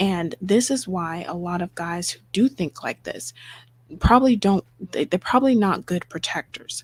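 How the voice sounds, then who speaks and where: Whispering at a moderate pace, a woman sounds somewhat breathy, with a dry, close sound and no echo. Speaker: livestream host. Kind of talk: live stream commentary.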